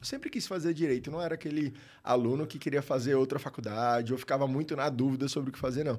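Very fast delivery with fairly even intonation on a very clean recording with a silent background. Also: man, fairly high pitch for a man. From Brazil, Maceió, Alagoas. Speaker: tax lawyer. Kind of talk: casual interview.

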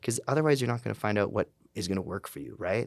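A man with a Canadian accent at a fairly low pitch, making very wide pitch swings, in a dry, close sound with no echo on a very clean recording with a silent background. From Calgary, Canada. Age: 30s. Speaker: tattoo artist and burlesque performer. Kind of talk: interview.

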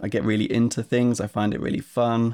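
In a very clean recording with a silent background, a man with an Essex accent talks at a moderate pace. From Essex, England. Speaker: software company co-founder. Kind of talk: casual interview chat.

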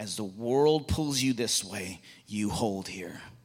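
The very clean recording with a silent background captures a man speaking in an animated tone at a fairly low pitch. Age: 40s. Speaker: guest speaker at a Bible school chapel. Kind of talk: sermon. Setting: chapel with live audience.

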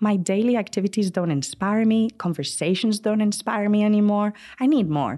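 Against a quiet background, a woman with a Spanish accent speaks at a medium pitch and moderate pace, with ordinary pitch variation and very even loudness. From Spain (Madrid). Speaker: travel entrepreneur. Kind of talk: interview. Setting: studio.

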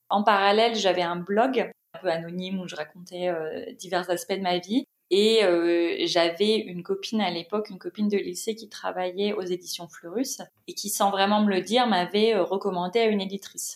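A woman speaks at medium pitch and a moderate pace, in an unremarkable speaking voice with fairly even intonation. Her loudness swings widely. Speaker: content writer and author. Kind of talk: casual interview conversation.

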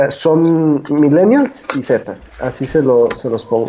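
A man talks very slowly, his intonation lively, with noticeable noise in the background. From Mexico, Guadalajara. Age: 20s. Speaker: economist and political commentator. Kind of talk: casual political discussion.

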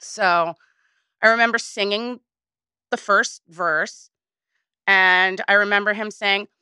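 Using lively intonation and a bright, sharp tone, a woman with an American accent speaks at a medium pitch in a dry, close sound with no echo. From US Northeast, Woodstock New York. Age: 40s. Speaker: singer. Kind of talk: casual interview.

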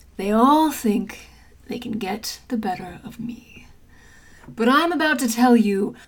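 A woman's put-on character voice, theatrical and menacing, fairly high-pitched, at a fairly slow pace. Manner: theatrical, menacing, then exasperated and familiar.

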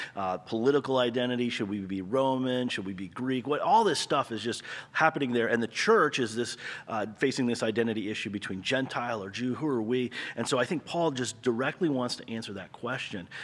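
A man with a plain, everyday voice speaks at a fairly quick pace in a medium pitch with ordinary pitch variation. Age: 40s. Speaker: pastor. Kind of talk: casual chat.

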